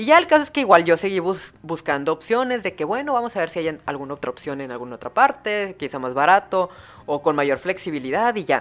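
Speaking at a fairly quick pace in a fairly low pitch, the woman sounds animated, her pitch swinging very widely. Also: big swings in loudness. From Mexico, Hermosillo, Sonora. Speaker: podcaster. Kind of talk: casual storytelling monologue. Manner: animated, with many fillers.

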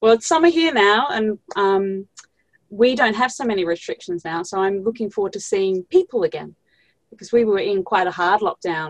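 An unremarkable speaking voice from a woman, medium in pitch, at a moderate pace, with a dry, close sound and no echo. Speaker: podcast host. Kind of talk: interview chat.

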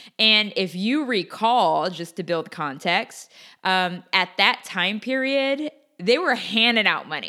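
In a very clean recording with a silent background, a woman speaks at a very slow pace with medium pitch. Her tone is bright and sharp, her intonation lively. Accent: American. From US Pacific Northwest (Portland, Oregon). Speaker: podcast host, real estate investor. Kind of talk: solo educational podcast monologue. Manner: casual, conversational with many fillers.

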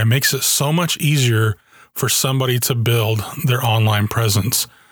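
The man's voice is somewhat breathy, and he speaks at a fairly slow pace. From Germany (US army family). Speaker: podcast host. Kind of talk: solo podcast monologue.

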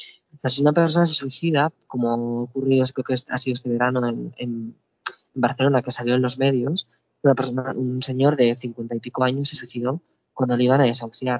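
A man's monotone, flat delivery sits at a medium pitch and moves at a fairly quick pace. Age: 20s. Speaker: mental health activist. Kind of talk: interview. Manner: halting, with frequent fillers.

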